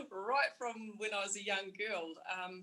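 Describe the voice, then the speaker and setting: A woman's bright, sharp voice in a New Zealand accent, medium pitch, fairly even intonation. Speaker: airline pilot. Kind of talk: panel discussion.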